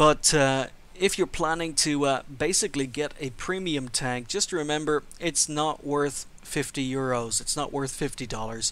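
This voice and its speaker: With hardly any pauses, a man talks at a fairly high pitch with ordinary pitch variation. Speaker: video game reviewer. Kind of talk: game review commentary. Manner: fast.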